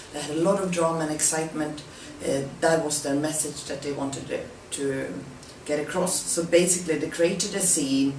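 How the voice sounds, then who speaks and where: Noticeable background noise and audible room echo surround a woman whose intonation is fairly even. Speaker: presenter. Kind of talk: presentation. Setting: self-recorded on camera.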